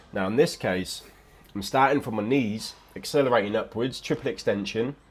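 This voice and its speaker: Mumbling at a moderate pace, the speaker uses lively intonation with an English accent. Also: man. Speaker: fitness vlogger. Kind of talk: casual voiceover commentary. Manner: mumbling, occasional stutter; relaxed.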